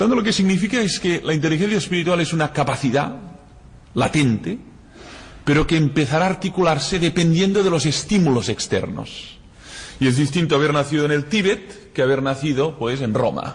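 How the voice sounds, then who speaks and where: With a Catalan accent, a man talks at a fairly quick pace in a fairly high pitch, his intonation lively and his loudness very even. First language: Catalan (speaking Spanish). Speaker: philosopher and lecturer. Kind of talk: lecture.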